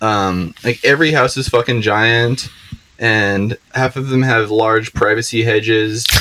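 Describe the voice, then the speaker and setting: A man with an American accent has an ordinary speaking voice at medium pitch. His intonation is fairly even and his pace fairly slow. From Seattle area, US Pacific Northwest. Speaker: podcast guest, social media poster. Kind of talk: casual chat. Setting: on a boat.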